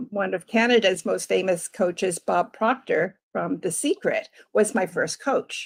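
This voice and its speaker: A woman speaks at a fairly slow pace with hardly any pauses. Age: 60s. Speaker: life coach. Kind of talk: interview.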